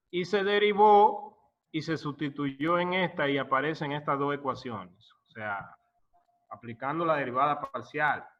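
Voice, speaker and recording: Fairly high in pitch, a man with an ordinary speaking voice talks at a fairly slow pace with lively intonation. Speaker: professor. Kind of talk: lecture.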